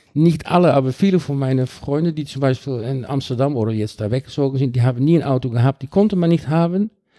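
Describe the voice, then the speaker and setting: A man with a Dutch accent, fairly high in pitch, dark and mellow in tone, at a fairly quick pace, in a very clean recording with a silent background. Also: dry, close sound with no echo. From Netherlands (Rotterdam). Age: 50s. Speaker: cycling advocate. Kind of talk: podcast interview. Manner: halting.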